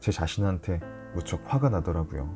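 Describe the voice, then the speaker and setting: This man's intonation is lively. Music plays in the background. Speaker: announcer. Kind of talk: sleep story.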